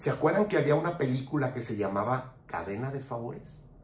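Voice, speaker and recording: A man at a moderate pace, with audible room echo. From Mexico. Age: 60s. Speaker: political commentator. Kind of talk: political commentary monologue. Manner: impassioned.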